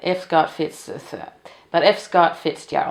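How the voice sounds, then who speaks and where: A woman with a Danish accent speaks at a moderate pace. Her voice is fairly low in pitch and has vocal fry. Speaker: book video creator. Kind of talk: casual chat. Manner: halting.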